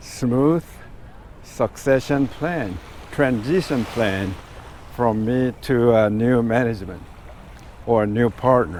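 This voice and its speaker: A man talks at a very slow pace, with long, frequent pauses. His medium pitch shows ordinary variation over noticeable background noise. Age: 60s. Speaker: tour business owner. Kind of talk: business talk to staff. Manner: halting with many fillers.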